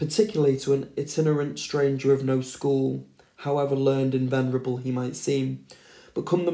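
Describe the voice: With fairly even intonation, someone does plain reading aloud.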